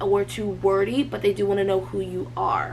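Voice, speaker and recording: With noticeable background noise behind her, a woman talks at a moderate speed. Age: 20s. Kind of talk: casual talk to camera.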